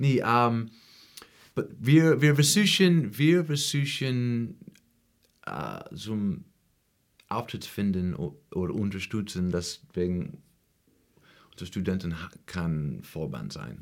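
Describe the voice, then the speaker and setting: In a very clean recording with a silent background, a man with an English accent speaks very slowly at a fairly low pitch, with very wide pitch swings, big swings in loudness, and long, frequent pauses. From US Midwest, rural Ohio (Appalachian foothills). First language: English (speaking German). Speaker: musician and music teacher. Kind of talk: interview. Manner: halting, non-fluent German with English fillers.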